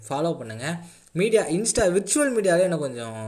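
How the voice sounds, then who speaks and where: A man speaks with lively intonation. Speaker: podcaster. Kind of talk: casual chat. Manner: halting.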